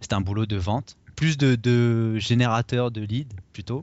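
A man's unremarkable speaking voice with fairly even intonation. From Paris region, France. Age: 30s. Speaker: blogger and investor, expatriate. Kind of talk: interview.

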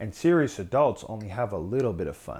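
This man has a normal speaking voice at medium pitch. His intonation is lively. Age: 30s. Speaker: YouTube vlogger. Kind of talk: monologue.

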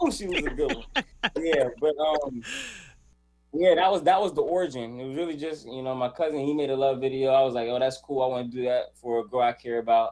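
With an American accent, a man talks fairly quickly in a normal speaking voice, at a medium pitch with ordinary pitch variation. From US South, Charlotte, North Carolina. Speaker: content creator and video editor. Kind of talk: casual interview chat.

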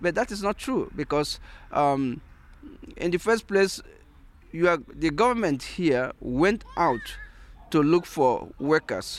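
Speaking very slowly with long, frequent pauses, a man with a Nigerian accent uses a high pitch and lively intonation. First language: Igbo. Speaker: philosopher and sociologist, integration activist. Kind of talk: interview. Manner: halting, many fillers.

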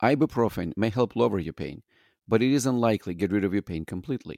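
At a fairly quick pace, a voice with a non-native accent and vocal fry swings very widely in pitch, with a dry, close sound and no echo. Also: man. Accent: noticeable foreign. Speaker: emergency physician. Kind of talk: casual chat.

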